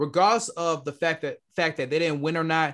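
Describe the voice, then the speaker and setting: A man speaks with an American accent. His pitch is fairly high for a man. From Detroit, Michigan, US. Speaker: podcast co-host. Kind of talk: casual chat. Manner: animated.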